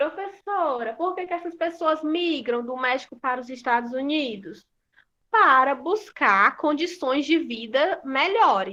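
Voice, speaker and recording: With a raised, projected voice, a woman speaks at a high pitch and a fairly slow pace, her tone bright and sharp and her intonation lively. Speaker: school teacher. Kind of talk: online class lesson.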